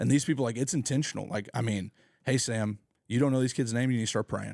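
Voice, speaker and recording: Speaking at a very fast pace with fairly even intonation, a man with an American accent is heard in a dry, close recording with no echo, very clean and silent in the background. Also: medium pitch for a man. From Oklahoma, Tulsa area. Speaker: youth pastor. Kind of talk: podcast interview. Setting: home garage. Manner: casual, filler-heavy.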